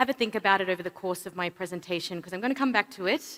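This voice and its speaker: A woman's medium-pitched voice, bright and sharp in tone, with a dry, close sound and no echo. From Australia. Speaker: payments industry executive, keynote speaker. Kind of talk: conference keynote speech. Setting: stage with audience at a summit. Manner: some hesitations and fillers.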